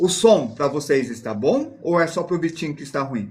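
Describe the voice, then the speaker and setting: Using very wide pitch swings, a man with a high pitch speaks at a fairly slow pace. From Paraná, southern Brazil. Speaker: drawing teacher. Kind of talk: live-streamed drawing lesson.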